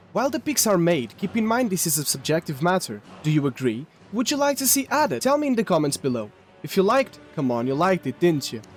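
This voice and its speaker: Over music in the background, a man with a non-native accent and a high pitch speaks at a very fast pace, his pitch swinging very widely. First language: not English. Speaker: gaming video narrator. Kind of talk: scripted narration.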